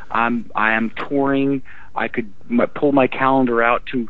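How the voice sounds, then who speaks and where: Over noticeable background noise, a man talks at a fairly slow pace and medium pitch. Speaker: rock singer. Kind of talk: casual interview. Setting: phone call.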